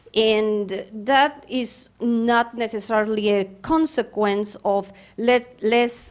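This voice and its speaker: On a very clean recording with a silent background, a woman with a non-native accent speaks in a fairly high voice with fairly even intonation. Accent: foreign. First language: not English. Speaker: public commenter at school board meeting. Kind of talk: public comment. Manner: halting, many fillers.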